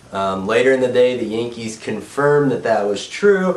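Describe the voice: A man speaks in a nasal, medium-pitched voice with lively intonation. Room echo is audible around him. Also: moderate pace.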